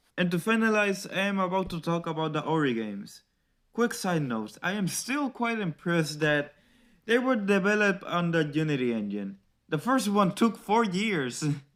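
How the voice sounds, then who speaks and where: On a very clean recording with a silent background, a man with a non-native accent speaks at a moderate pace in a high voice that swings very widely in pitch. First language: not English. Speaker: video essayist. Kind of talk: scripted narration. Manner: varying tone.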